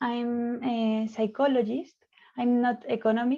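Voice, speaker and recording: With a Spanish accent, a woman speaks in a high-pitched, dark, mellow tone, monotone and flat, at a fairly slow pace. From Spain. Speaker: psychologist leading a student discussion. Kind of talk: moderated online discussion. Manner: halting, many fillers.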